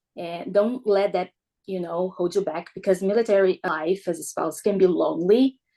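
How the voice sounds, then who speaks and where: Using a dark, mellow tone, a woman with a Brazilian accent speaks at a moderate pace, medium-pitched with ordinary pitch variation. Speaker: military spouse. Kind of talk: podcast interview.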